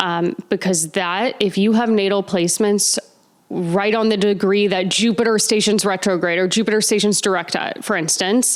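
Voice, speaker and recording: A plain, everyday voice from a woman, medium in pitch, with a moderate pace, fairly even intonation and very even loudness. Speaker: astrology podcast host. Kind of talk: Q&A monologue. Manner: casual, filler-heavy.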